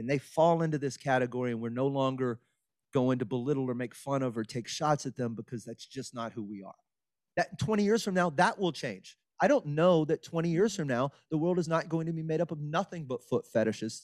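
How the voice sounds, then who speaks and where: A man with an American accent speaks at a fairly quick pace in a plain, everyday voice, his pitch fairly high and his intonation lively. The recording is very clean with a silent background, and the sound is dry and close with no echo. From southeast Texas, Beaumont. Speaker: comedian. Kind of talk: interview.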